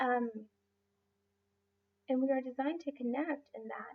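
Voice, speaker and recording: The woman's pitch shows ordinary variation as she talks. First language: Spanish. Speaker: life coach and massage therapist. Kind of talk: motivational talk. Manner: halting, many fillers.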